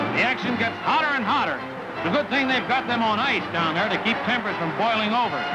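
Very fast speech plays over clear music in the background. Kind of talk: newsreel sports narration. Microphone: old recording.

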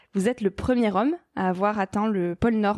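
This woman's voice sits at a fairly high pitch with a dark, mellow tone and ordinary pitch variation. She talks at a moderate pace, and the sound is dry and close with no echo. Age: 20s. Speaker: podcast host. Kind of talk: interview.

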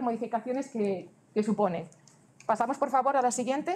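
Lively intonation in a high female voice. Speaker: government transport official presenting regulations; presenter. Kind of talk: conference presentation. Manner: fast; halting, many self-corrections. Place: hall.

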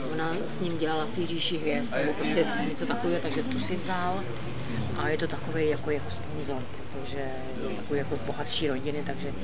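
Crowd noise sits in the background. The speech comes at a very fast pace. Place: bar. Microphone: camera far.

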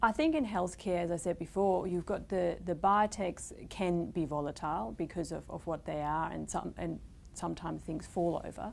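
Light background noise sits under a woman's fairly low pitch with vocal fry. She talks at a moderate pace with hardly any pauses and ordinary pitch variation. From Germany. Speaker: fund manager. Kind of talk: interview. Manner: hesitant, frequent fillers. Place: studio. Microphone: lapel.

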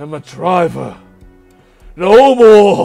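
Over faint background music, a man puts on a high-pitched character voice.

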